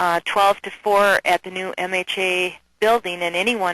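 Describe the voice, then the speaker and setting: In a Minnesotan accent, a woman of medium pitch speaks with monotone, flat intonation and a bright, sharp tone, the sound dry and close with no echo. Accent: Minnesota. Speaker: nursing educator. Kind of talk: webinar presentation. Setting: online webinar.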